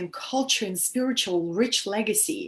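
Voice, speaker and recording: Somewhat breathy, a woman with a Russian accent talks at a very slow pace and a fairly high pitch on a very clean recording with a silent background. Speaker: spiritual teacher. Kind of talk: live stream talk to viewers. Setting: live stream via video app. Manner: animated.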